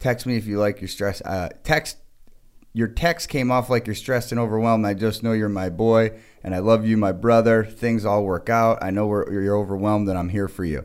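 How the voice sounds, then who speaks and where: This man has a normal speaking voice, pitched fairly low. He keeps a moderate pace and fairly even intonation. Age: 30s. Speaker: podcast co-host. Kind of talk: casual chat.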